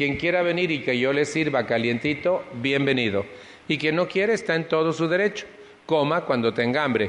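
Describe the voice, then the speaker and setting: A man speaks at a moderate pace with a fairly high pitch, very even loudness and lively intonation over noticeable background noise. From Mexico City. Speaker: recovery support group speaker. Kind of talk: personal testimony talk to an audience.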